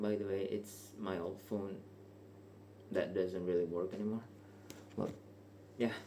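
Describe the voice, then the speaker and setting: A man with a non-native accent speaks fairly slowly in a flat monotone, leaving long, frequent pauses. There is audible room echo. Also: fairly low pitch for a man. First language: not English. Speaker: vlogger. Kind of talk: casual unscripted monologue. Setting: bedroom at night. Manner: hesitant, casual.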